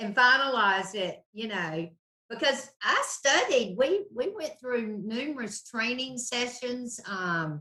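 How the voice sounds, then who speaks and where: At a very slow pace, a woman speaks in a high voice that swings very widely in pitch. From North Carolina, High Point. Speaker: mortgage loan officer. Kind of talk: casual interview chat.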